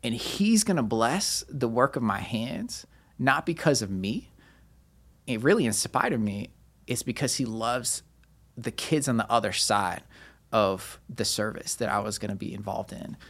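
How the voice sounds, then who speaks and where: In an ordinary speaking voice, a man talks at a moderate pace and medium pitch with ordinary pitch variation, on a very clean recording with a silent background. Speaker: pastor and nonprofit founder. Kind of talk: casual interview, personal testimony.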